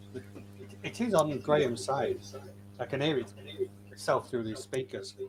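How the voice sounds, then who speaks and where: Somewhat breathy at a medium pitch, a man speaks at a moderate pace with lively intonation and long, frequent pauses. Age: 60s. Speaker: livestream quiz host. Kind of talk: casual chat.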